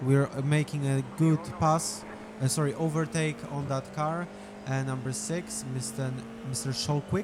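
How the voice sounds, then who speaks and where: With a Polish accent, a man speaks at a fairly high pitch over noticeable background noise. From Poland. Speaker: sim racing gamer. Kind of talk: gameplay voiceover commentary. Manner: hesitant, many fillers.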